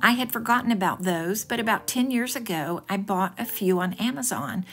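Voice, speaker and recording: This woman has an ordinary speaking voice at a medium pitch, with ordinary pitch variation and a moderate pace. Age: 60s. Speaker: home decor vlogger. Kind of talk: home decor video narration.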